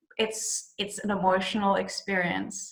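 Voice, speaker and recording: A woman with a South African accent talks in a fairly even intonation. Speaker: actress. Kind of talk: interview. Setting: video call.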